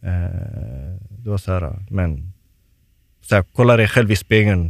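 Fairly low in pitch, a man speaks at a moderate pace with fairly even intonation. The sound is dry and close, with no echo. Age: 20s. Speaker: professional footballer. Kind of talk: casual chat. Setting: studio.

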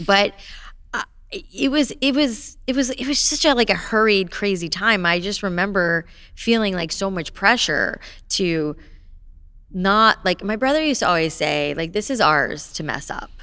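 A woman speaks with an American accent in a bright, sharp tone. Her medium pitch swings very widely. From South Florida, Boca Raton. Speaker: entrepreneur, salon founder and author. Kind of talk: interview conversation. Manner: fast, animated.

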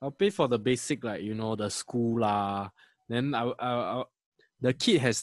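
In a very clean recording with a silent background and a dry, close sound with no echo, a man with an unremarkable speaking voice talks fairly quickly at a medium pitch with ordinary pitch variation. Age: 20s. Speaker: podcast co-host. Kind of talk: casual chat.

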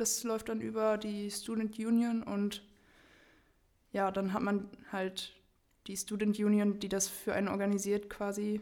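A woman speaks at a fairly slow pace with long, frequent pauses. Her pitch is medium and her intonation monotone and flat. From Germany. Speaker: university student. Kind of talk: casual chat.

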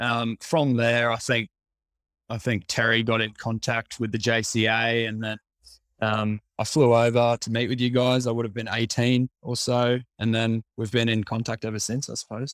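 Speaking with an Australian accent, a man uses a medium pitch and monotone, flat intonation at a moderate pace. The sound is dry and close with no echo, and the recording is very clean with a silent background. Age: 20s. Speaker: cricketer and coach. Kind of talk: casual interview.

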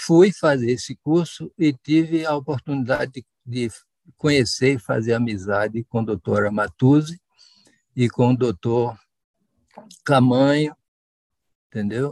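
A man speaks at medium pitch with ordinary pitch variation, at a fairly slow pace broken by long, frequent pauses. The sound is dry and close, with no echo. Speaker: knee surgeon. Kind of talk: interview testimony.

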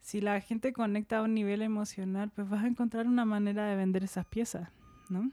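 A woman's dark, mellow tone at a fairly high pitch. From Chile, Santiago. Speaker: textile artist. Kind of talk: casual interview.

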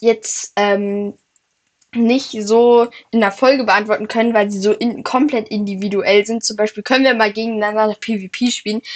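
With fairly even intonation, the speech proceeds at a moderate pace. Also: woman. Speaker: Minecraft gaming podcast co-host. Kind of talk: casual gameplay chat.

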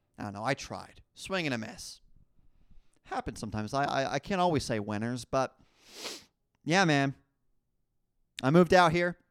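With a New Jersey accent and a fairly high pitch, a man speaks in an animated tone with lively intonation at a moderate pace, taking long, frequent pauses, in a very clean, dry, close recording with no echo and a silent background. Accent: New Jersey American. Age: 20s. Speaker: podcast host. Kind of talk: casual solo monologue.

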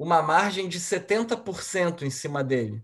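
Against a quiet background, a man with a high-pitched voice swings very widely in pitch. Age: 30s. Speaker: financial advisor. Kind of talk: casual chat.

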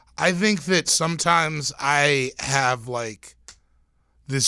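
With an American accent, a man speaks in a bright, sharp tone with ordinary pitch variation, recorded very cleanly against a silent background. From Pacific Northwest US, Tacoma area, Washington. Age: 30s. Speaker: comedian. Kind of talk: casual chat.

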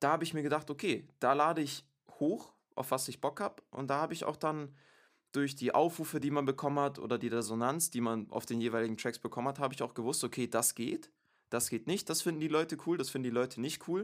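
A man talks at a very fast pace in a fairly high pitch with ordinary pitch variation, on a very clean recording with a silent background. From Stuttgart, Germany. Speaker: music producer and rapper. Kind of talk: casual interview. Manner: halting, many fillers.

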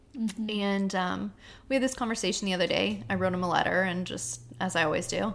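Lively intonation and vocal fry mark this woman's medium-pitched voice. She speaks at a fairly quick pace. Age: 20s. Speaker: army wife, teacher and stay-at-home mom. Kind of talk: casual chat.

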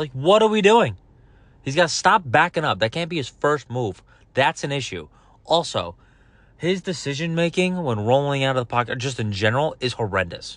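Against a quiet background, a man shouts loudly in an animated tone at a moderate pace, his fairly high pitch making very wide swings. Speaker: sports podcast host. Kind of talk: casual solo commentary. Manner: loud, yelling.

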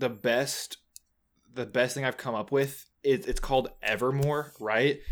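With fairly even intonation, a man talks at a fairly slow pace in an ordinary speaking voice at medium pitch. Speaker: podcast co-host. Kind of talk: casual chat, album discussion.

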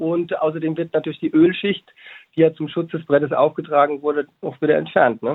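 A man speaks in a plain, everyday voice at a fairly high pitch. His pace is fairly quick and his intonation fairly even. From Hesse, Germany (Babenhausen). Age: 30s. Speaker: educator and business co-founder. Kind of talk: interview.

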